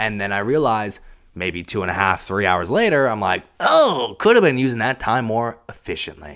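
An ordinary speaking voice moves at a moderate pace with ordinary pitch variation. The recording is very clean, with a silent background. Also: man, medium pitch for a man. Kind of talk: angry rant, heated and profane, self-interrupting venting into the mic. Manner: exasperated, scattered, loud and irritable.

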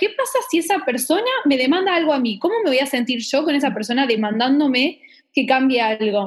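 A woman with an Argentine accent, high-pitched, lively in intonation, at a fairly quick pace. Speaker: podcast guest. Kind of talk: casual chat.

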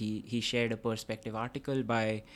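A man with an Indian accent, flat monotone delivery and a fairly quick pace, on a very clean recording with a silent background. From India (Kolkata). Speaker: PhD student. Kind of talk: interview.

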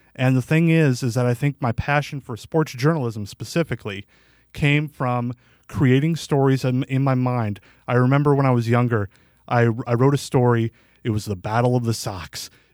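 At a moderate pace, a man with an American accent talks at medium pitch with ordinary pitch variation, in a dry, close sound with no echo. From US Midwest, western Illinois and Iowa. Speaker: local sports journalist. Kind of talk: interview. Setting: studio.

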